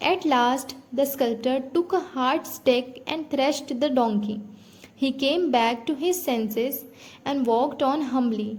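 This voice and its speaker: A woman's high-pitched voice in an Indian accent, at a fairly slow pace with ordinary pitch variation. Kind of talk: read story for English listening practice.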